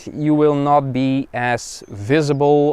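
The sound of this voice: A man speaks at a slow pace. His tone is clear, smooth and slightly mellow.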